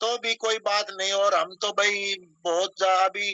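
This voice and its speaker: A man is speaking. His intonation is fairly even. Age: 60s. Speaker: social activist. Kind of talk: casual chat. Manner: halting.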